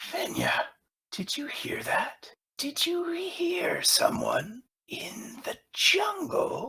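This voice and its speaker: A man's whispered, put-on character voice at a very slow pace. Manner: loud whisper.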